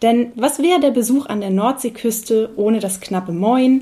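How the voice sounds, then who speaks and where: Speaking at a fairly slow pace, a woman has a fairly high pitch, a dark, mellow tone and ordinary pitch variation. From North Frisia, Eiderstedt peninsula. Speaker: podcast host, tourism staff. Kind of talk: interview. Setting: at guest's home.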